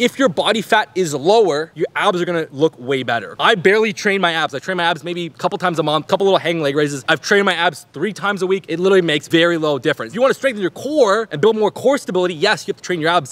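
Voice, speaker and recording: A man at a very fast pace, with lively intonation and hardly any pauses. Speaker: fitness creator. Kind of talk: energetic fitness advice short. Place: garden.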